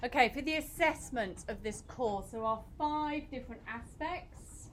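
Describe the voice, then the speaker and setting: The speaker has a British accent and a fairly slow pace. Pitch varies in an ordinary way. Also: woman, high pitch for a woman. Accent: very British. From Britain. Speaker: university lecturer. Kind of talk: lecture. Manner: animated.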